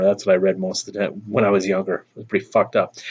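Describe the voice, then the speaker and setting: Fairly low in pitch, a man delivers his words in a flat monotone. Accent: Minnesotan. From Minnesota. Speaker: YouTuber. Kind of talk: casual chat. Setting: outdoors on front porch.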